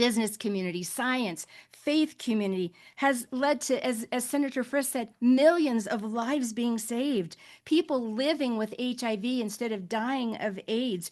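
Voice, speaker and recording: A woman speaks at a high pitch with ordinary pitch variation. The background is quiet. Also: moderate pace. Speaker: faith-based global health advocate. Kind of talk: panel webinar remarks. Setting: online webinar. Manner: impassioned, emotional.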